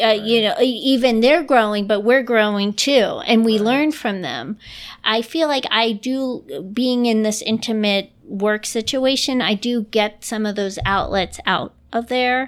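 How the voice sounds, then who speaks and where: A woman speaks in a normal speaking voice with an American accent, fairly high in pitch and at a fairly slow pace with hardly any pauses. Her pitch varies in an ordinary way, and the very clean recording has a silent background. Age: 30s. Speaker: improviser and nanny. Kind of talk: casual interview chat. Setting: home recording in dining room.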